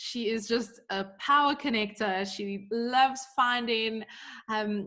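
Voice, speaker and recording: The speaker, in a South African accent, uses ordinary pitch variation. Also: woman. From South Africa, Johannesburg. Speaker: podcast co-host, business coach. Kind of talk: casual podcast chat.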